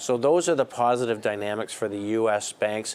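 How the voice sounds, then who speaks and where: A man talks at a fairly quick pace with a Canadian accent. He has an ordinary speaking voice and medium pitch. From Canada. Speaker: investment strategist. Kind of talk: call-in market commentary.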